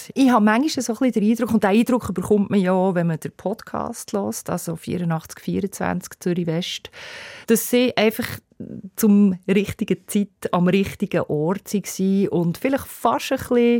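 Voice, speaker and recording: Ordinary pitch variation and a dark, mellow tone mark a woman speaking at a fairly slow pace. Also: dry, close sound with no echo, very clean recording, silent background. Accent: Bernese. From Bernese Oberland, Switzerland. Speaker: music journalist. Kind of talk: casual chat.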